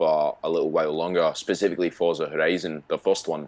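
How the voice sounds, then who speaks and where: Someone with a Scottish accent speaks at a very fast pace over noticeable background noise. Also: man. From Scotland. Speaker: gaming podcast co-host. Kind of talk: casual chat.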